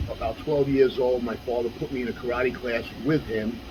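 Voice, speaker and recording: Over noticeable background noise, a man with a New York accent speaks at a moderate pace with fairly even intonation. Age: 60s. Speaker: former kickboxer and martial arts instructor. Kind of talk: interview. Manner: casual, with frequent fillers.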